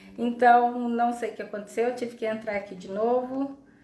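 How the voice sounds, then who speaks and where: A woman's voice with audible room echo. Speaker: psychologist, live stream host. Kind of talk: live stream talk. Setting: online live stream. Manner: slow. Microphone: unstable internet connection.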